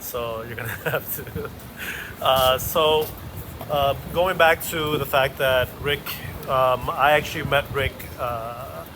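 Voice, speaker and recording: A man speaks very slowly at a fairly high pitch, with long, frequent pauses. His intonation is fairly even, and background noise is noticeable. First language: not English. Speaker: stand-up comedian and show host. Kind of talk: casual chat while walking.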